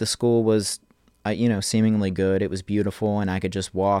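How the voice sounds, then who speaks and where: A man with an American accent and a very deep, low pitch talks at a very fast pace in a monotone, flat intonation, recorded with a dry, close sound with no echo and a very clean, silent background. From New Jersey, Manahawkin. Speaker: visual artist. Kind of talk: interview. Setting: home studio.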